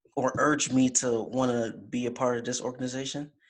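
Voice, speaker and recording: An American accent marks this man's speech. His pitch is medium and his pace moderate. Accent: slight Jamaican accent, mostly American. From Jamaica. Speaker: college fraternity officer. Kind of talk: interview. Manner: casual, relaxed.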